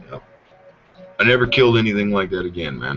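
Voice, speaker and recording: Music plays in the background as a man talks in a very deep, low pitch. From Idaho, US. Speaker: podcast host. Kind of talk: casual chat. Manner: animated.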